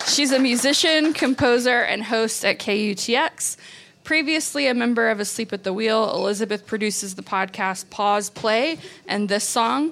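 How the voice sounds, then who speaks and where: A woman with an American accent and an ordinary speaking voice, at a moderate pace with ordinary pitch variation. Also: fairly high pitch for a woman. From Texas. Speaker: podcast host and magazine director. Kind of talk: event introduction. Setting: stage with audience.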